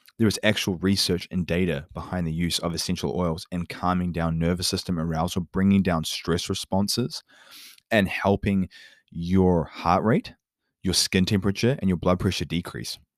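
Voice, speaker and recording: An animated voice speaks at a moderate pace. The recording is very clean with a silent background and a dry, close sound with no echo. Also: man, very deep, low pitch for a man. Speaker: podcast host and vegan nutritionist. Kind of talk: solo monologue.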